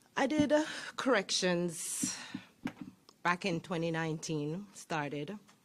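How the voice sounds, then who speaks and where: A woman speaks with a Jamaican accent. Her pitch sits fairly low. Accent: Jamaican accent, noticeable. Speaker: sheriff's deputy. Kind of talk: public speech.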